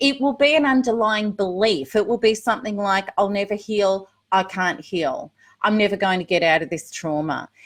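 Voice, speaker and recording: Lively intonation marks this moderate-paced speech in an Australian accent, recorded very cleanly against a silent background. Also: woman, medium pitch for a woman. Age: 50s. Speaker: recovery coach. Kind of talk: live Q&A. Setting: livestream. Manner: casual, chatty.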